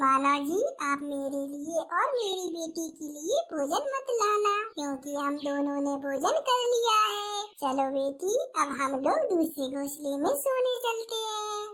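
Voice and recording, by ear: A woman does a squeaky, cartoonish character voice at an extremely high pitch, speaking fairly slowly with hardly any pauses and very wide pitch swings.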